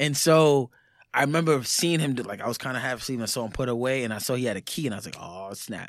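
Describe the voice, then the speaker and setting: A man at a medium pitch with a New York accent, very fast, with ordinary pitch variation. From New York, the Bronx. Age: 30s. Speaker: author and musician. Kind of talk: casual chat.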